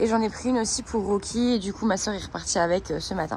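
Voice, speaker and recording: The talk moves at a fairly quick pace with fairly even intonation over noticeable background noise. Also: woman. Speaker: equestrian vlogger. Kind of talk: casual vlog chat. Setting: stables. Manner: hesitant, many fillers.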